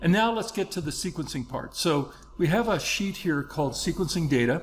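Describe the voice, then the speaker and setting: A man with a high voice talks at a fairly quick pace, his intonation lively. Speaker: software trainer. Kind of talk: tutorial. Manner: fast.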